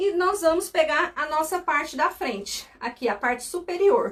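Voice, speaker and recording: A woman speaks with lively intonation. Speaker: sewing instructor, seamstress. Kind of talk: live sewing tutorial.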